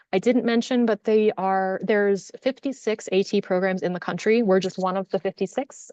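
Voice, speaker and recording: A woman at a medium pitch with ordinary pitch variation. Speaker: assistive technology program director. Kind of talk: webinar presentation. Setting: online webinar. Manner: fast.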